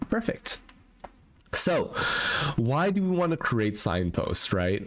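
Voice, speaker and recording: A man's pitch swings very widely while he talks at a very slow pace. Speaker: productivity software tutorial host. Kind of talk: live stream tutorial. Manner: mumbling, stumbling over words.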